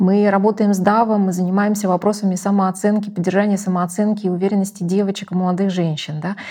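A woman's very fast, medium-pitched delivery with hardly any pauses, dark and mellow in tone, somewhat breathy, and monotone and flat in intonation. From Russia. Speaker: company executive. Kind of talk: interview.

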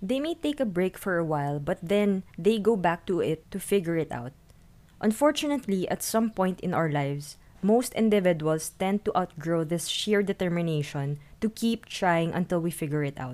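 Her voice is an unremarkable speaking voice at medium pitch, and this woman talks at a moderate pace with lively intonation. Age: 20s. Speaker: podcast host and freelancer. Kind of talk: solo podcast monologue.

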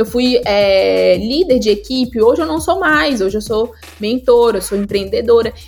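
The intonation is lively and the pace fairly slow. Noticeable background noise can be heard. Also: woman, fairly high pitch for a woman. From Goiás, Brazil (Goiânia). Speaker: entrepreneur and career specialist. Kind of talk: interview.

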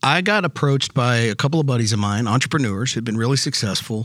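At a moderate pace, a man with an American accent speaks at a medium pitch in an ordinary speaking voice. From Texas. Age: 50s. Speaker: regenerative medicine company CEO. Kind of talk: interview. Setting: live at a conference.

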